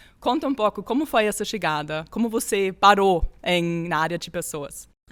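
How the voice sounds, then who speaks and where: With a non-native accent, a woman talks at a moderate pace using lively intonation. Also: medium pitch for a woman, very clean recording, silent background. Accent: foreign accent in Portuguese. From Austria. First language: German (speaking Portuguese). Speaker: HR executive and podcast host. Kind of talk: interview conversation.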